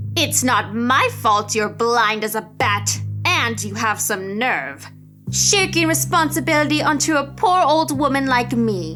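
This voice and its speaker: Over clear music in the background, a woman uses a put-on character voice at a fairly slow pace. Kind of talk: horror story narration. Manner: angry, screaming.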